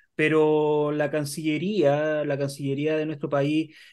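A man with a Chilean accent and a fairly high pitch speaks against a quiet background. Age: 30s. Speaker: co-host. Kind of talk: political interview. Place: office. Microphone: video call.

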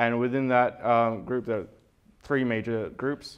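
A man talks with an Australian accent. His intonation is fairly even, and the background is quiet. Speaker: conference speaker, evolutionary biologist. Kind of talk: conference talk. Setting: stage with audience. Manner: halting, many fillers. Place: hall.

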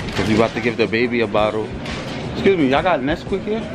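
Music plays behind a man whose pitch rises and falls in an ordinary way. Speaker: father vlogger. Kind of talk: casual vlog chat. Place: shop. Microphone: phone near.

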